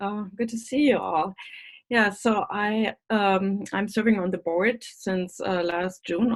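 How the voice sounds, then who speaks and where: With a German accent, a woman talks at a fairly slow pace using ordinary pitch variation. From Germany. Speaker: school board member. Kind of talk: candidate forum speech. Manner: halting.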